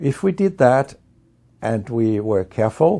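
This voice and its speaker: In a Danish accent, a man talks at a very slow pace with a dark, mellow tone. The recording is very clean, with a silent background. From Denmark. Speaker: medical researcher and professor. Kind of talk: interview monologue.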